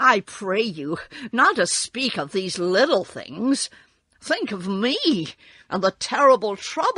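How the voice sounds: Intonation here is lively. The voice is a natural reading voice.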